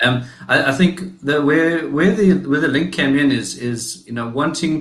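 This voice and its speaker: With a South African accent, the speaker goes at a moderate pace with hardly any pauses and ordinary pitch variation, amid audible room echo and noticeable background noise. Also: man. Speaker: digital marketing agency founder. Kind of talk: interview. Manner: halting.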